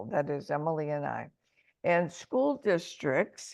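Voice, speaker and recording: Speaking very slowly in a Midwestern accent, a woman with a fairly low pitch shows ordinary pitch variation. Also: quiet background. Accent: American, Midwest. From Michigan, US, in a Mexican household. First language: Spanish. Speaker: language education administrator. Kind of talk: webinar presentation.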